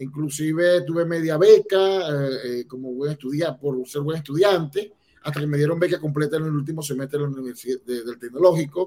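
Fairly high in pitch yet dark and mellow in tone, a man speaks at a moderate pace with fairly even intonation. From Venezuela, Barquisimeto. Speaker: immigrant entrepreneur. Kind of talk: casual interview. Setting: video call.

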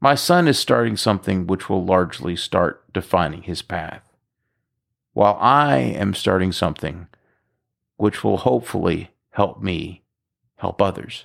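A man with a very deep, low pitch and vocal fry uses lively intonation at a fairly slow pace, leaving long, frequent pauses. The recording is very clean, with a silent background. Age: 50s. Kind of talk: scripted narration.

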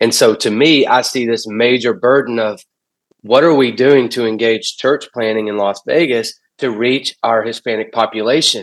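A man with an ordinary speaking voice talks at a medium pitch. He keeps a moderate pace and fairly even intonation. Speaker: pastor. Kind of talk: casual chat.

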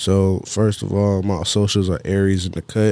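A man with an Atlanta accent, fairly low in pitch, dark and mellow in tone, at a fairly slow pace, on a very clean recording with a silent background. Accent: Southern US, Atlanta. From Georgia and South Carolina, US South. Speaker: music producer. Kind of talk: casual interview.

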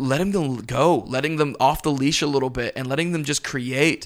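A man with an unremarkable speaking voice, fairly high in pitch, with an American accent, a moderate pace and ordinary pitch variation. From US South, Pensacola, Florida. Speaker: pastor. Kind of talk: casual interview.

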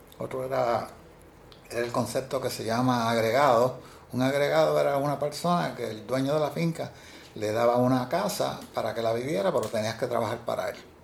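A man with a Puerto Rican accent, medium pitch, lively intonation and a fairly quick pace. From Puerto Rico, Ciales. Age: 70s. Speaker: retiree working part-time. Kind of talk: interview. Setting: office.

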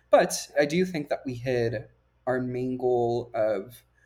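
Over a very clean recording with a silent background, a man talks at a medium pitch with a dark, mellow tone. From Puerto Rico. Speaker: STEM tutor. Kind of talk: interview.

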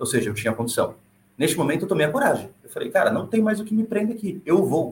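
At a very fast pace, a man talks in a somewhat breathy voice. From Brazil. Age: 20s. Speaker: former engineer and world traveler. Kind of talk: podcast conversation.

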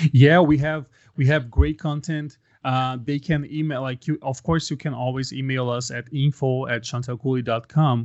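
At a moderate pace, a man with a Portuguese accent talks at medium pitch with fairly even intonation. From Brazil, Brasilia. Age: 30s. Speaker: ministry worker. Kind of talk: casual interview. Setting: remote call from Brazil.

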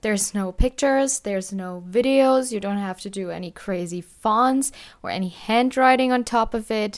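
In a very clean recording with a silent background, a woman with a German accent speaks at a moderate pace in a medium pitch with ordinary pitch variation. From Germany. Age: 20s. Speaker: podcast host, college student. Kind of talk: casual monologue. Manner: casual, often says 'like'.

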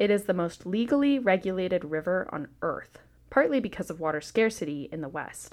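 A woman talks at a fairly quick pace with lively intonation and a medium pitch. It is a plain, everyday voice. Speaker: narrator. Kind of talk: history documentary narration. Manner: measured, formal, even-paced; clear, polished, informative.

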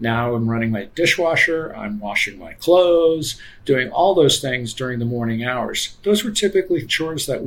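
Speaking at a moderate pace, a man with a medium pitch sounds somewhat breathy, his pitch swinging very widely. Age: 50s. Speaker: energy economist. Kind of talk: casual interview.

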